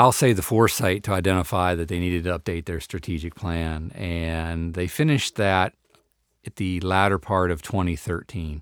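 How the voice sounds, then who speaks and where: A man's very deep, low voice with a Midwestern US accent and ordinary pitch variation, on a very clean recording with a silent background. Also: moderate pace. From northeast Ohio. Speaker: parks executive director. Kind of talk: interview.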